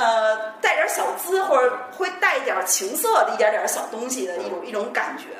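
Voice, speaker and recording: Amid noticeable background noise and audible room echo, a woman speaks at a very fast pace with very wide pitch swings. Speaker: podcast guest. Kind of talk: casual chat.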